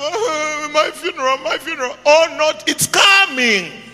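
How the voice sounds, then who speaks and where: A man's raised, projected voice at extremely high pitch, very slow pace, amid noticeable background noise. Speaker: pastor. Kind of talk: sermon. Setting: church with congregation. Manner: animated.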